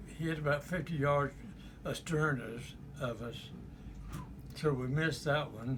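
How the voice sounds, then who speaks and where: Pausing long and often, a man with a South Carolina accent talks at a fairly slow pace in a fairly high pitch with fairly even intonation. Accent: Southern US (South Carolina). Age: 80s+. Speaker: war veteran. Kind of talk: interview answer.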